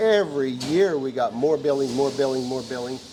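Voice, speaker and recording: With a Missouri accent and ordinary pitch variation, a man speaks against noticeable background noise. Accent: rural Midwestern US (Missouri). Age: 80s+. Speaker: tractor club founder. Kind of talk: casual interview. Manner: hesitant, many fillers.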